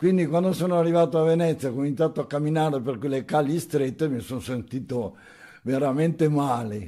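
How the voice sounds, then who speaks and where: Against a quiet background, the voice has a dark, mellow tone, ordinary pitch variation and a fairly quick pace. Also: man, fairly high pitch for a man. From Venice, Italy (born in Nago, Trentino); Italy. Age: 80s+. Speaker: elderly local resident sharing memories; interviewee. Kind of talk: oral history testimony. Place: home room. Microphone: handheld.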